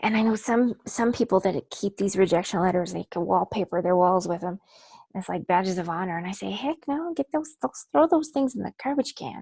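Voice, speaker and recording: A woman with a dark, mellow tone and a medium pitch talks at a fairly quick pace with very wide pitch swings, recorded in a dry, close sound with no echo. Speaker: author and book coach. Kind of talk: webinar workshop presentation. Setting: online webinar.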